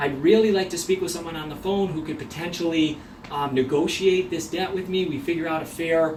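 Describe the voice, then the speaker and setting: Over noticeable background noise and audible room echo, a man with a fairly high pitch talks at a fairly quick pace with ordinary pitch variation. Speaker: mortgage professional. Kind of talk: video tutorial. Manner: fast.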